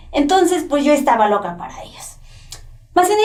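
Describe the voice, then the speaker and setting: A woman's voice with audible room echo. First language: Nahuatl (speaking Spanish). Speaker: former prisoner, poet and translator. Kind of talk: testimony. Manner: halting, with self-corrections.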